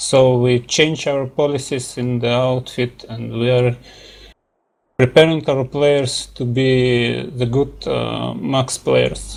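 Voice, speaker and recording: Very slowly, a man speaks with a Russian accent. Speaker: gaming team leader. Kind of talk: interview. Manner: halting.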